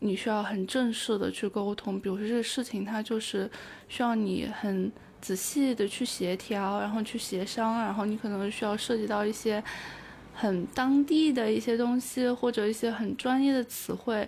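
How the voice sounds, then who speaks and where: A woman talks at a moderate pace in a normal speaking voice. Her pitch is fairly high and her intonation fairly even. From China, Taiyuan, Shanxi. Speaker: overseas graduate student. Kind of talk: interview conversation.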